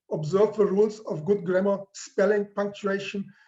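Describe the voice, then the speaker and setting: Speaking with a non-native accent, a man has a high pitch and a dark, mellow tone. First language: not English. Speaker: professor. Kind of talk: lecture.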